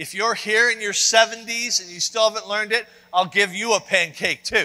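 A man talks at a moderate pace in a raised, projected voice. His intonation stays fairly even over a quiet background. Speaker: preacher. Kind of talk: sermon. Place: church.

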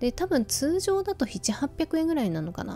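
A woman in a relaxed tone, with faint music in the background. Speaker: radio-style talk host. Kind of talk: sleep-inducing radio talk, casual chat to listeners. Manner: relaxed, conversational. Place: home room. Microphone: phone near.

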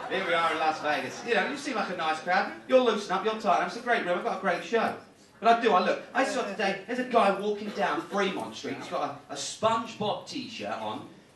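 A man talking with hardly any pauses, room echo audible and background noise noticeable. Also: ordinary pitch variation. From United Kingdom. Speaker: stand-up comedian. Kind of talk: live stand-up comedy set. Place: stage.

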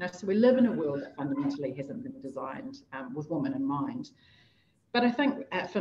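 A woman with a New Zealand accent and very wide pitch swings, over light background noise. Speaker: technology executive; panelist. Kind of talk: panel discussion. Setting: video call. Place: office. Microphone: webcam.

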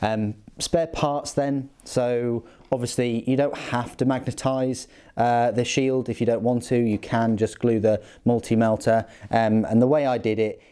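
Against a quiet background, a man with a dark, mellow tone talks at a fairly slow pace, his intonation fairly even and his loudness very even. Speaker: hobbyist reviewing a model kit. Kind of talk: casual review walkthrough.

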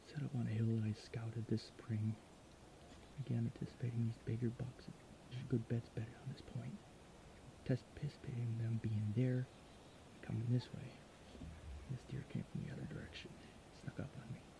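Over noticeable background noise, a man talks at a fairly quick pace with fairly even intonation, and the sound is dry with no echo. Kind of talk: casual vlog chat. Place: forest. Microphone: phone near.

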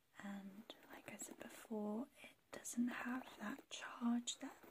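A woman speaks softly. Noticeable background noise runs behind her. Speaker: ASMR creator. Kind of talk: ASMR soft-spoken product review. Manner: soft-spoken. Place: home room. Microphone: phone near.

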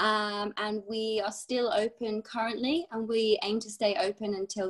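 This woman's fairly high-pitched voice runs on with hardly any pauses. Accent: British. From UK. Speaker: ski instructor and ski school supervisor. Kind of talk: casual interview. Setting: video call.

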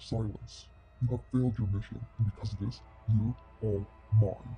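Over music in the background, a man talks at a fairly low pitch. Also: moderate pace. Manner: menacing, commanding, easily annoyed.

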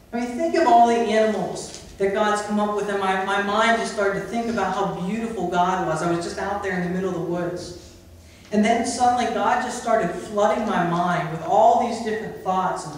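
A man's high-pitched voice at a fairly quick pace, with ordinary pitch variation and strong room echo. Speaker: preacher. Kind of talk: sermon. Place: church. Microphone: camera far.

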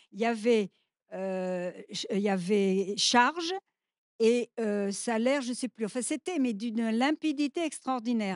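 In a dry, close recording with no echo, a woman with a fairly high pitch speaks at a fairly slow pace in a plain, everyday voice. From France, urban. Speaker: activist. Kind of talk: panel discussion.

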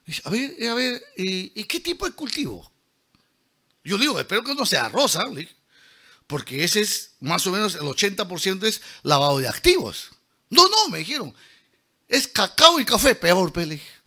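A man with a high pitch and a bright, sharp tone speaks in a raised, projected voice at a fairly slow pace. His delivery is animated, with very wide pitch swings and long, frequent pauses. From Peruvian Amazon (San Martín, Lamas). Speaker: engineer and lecturer. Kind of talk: lecture. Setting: auditorium with audience.

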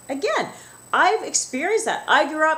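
This woman's tone is animated. Her pitch swings very widely. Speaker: wellness vlogger. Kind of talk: angry rant. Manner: animated, emphatic, indignant; talkative, conversational, direct to viewers. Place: office. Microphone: webcam.

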